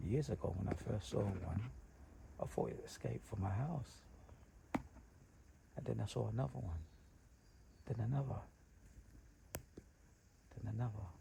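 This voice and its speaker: Someone whispers at a moderate pace with long, frequent pauses. Noticeable background noise sits behind the voice. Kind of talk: casual nature commentary while filming. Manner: whispered.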